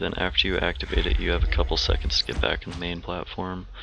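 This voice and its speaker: A man speaks fairly quickly while noticeable noise runs in the background. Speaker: gamer making game guides. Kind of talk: game tutorial voice-over. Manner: shaky, stuttery.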